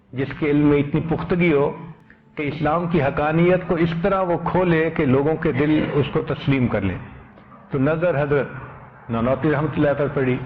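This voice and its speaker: A man with a fairly high pitch, ordinary pitch variation and an unremarkable speaking voice. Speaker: Islamic scholar giving a religious sermon. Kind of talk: Islamic sermon (bayan) on humility and anonymity.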